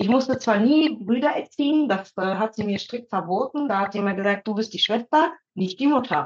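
At a moderate pace, a woman talks with lively intonation, a fairly high pitch and a somewhat breathy sound. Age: 30s. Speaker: psychologist and mother of two. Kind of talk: casual chat.

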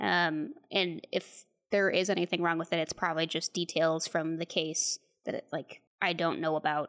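In a normal speaking voice, a woman with a fairly low pitch speaks at a moderate pace with fairly even intonation, the sound dry and close with no echo. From Texas. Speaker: podcast co-host. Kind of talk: casual chat, movie review.

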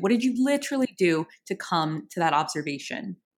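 A woman with a plain, everyday voice and an American accent, at moderate pace and medium pitch with lively intonation, on a very clean recording with a silent background. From New Orleans, US. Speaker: podcast co-host. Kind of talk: casual chat.

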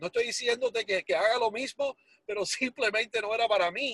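Recorded dry and close with no echo, the man's pitch moves in an ordinary way. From Miami, Florida (Hialeah), Cuban-born. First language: English (speaking Spanish). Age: 40s. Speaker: entrepreneur telling life story. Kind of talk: motivational testimony.

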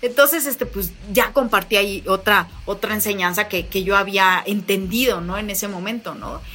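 A woman talks with hardly any pauses and big swings in loudness. Noticeable background noise runs behind her. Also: medium pitch for a woman, ordinary pitch variation, moderate pace. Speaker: motivational speaker. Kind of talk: interview conversation. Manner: animated.

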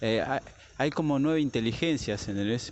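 A man talks with a Rioplatense accent and ordinary pitch variation. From Argentina. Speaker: listener sending voice messages. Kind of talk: voice message.

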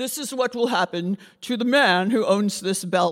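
A man talks at a moderate pace in a high, put-on character voice. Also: ordinary pitch variation. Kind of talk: elevated. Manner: solemn, prophetic.

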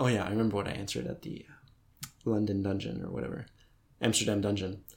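The speaker has an American accent and vocal fry. The pace is very fast. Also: man. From United States. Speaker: podcast co-host. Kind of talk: casual chat.

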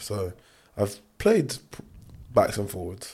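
A man talks at a moderate pace with a London accent and a fairly low pitch. The recording is very clean, with a silent background. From London (Clapham). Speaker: rugby player. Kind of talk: casual chat.

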